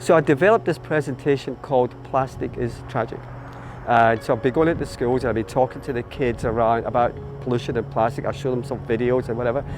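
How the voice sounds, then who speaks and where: Against noticeable background noise, a man at a medium pitch speaks at a very fast pace with fairly even intonation. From Scotland, Glasgow. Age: 60s. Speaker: volunteer boat skipper and children's author. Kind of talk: casual interview monologue. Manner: hesitant with repetitions.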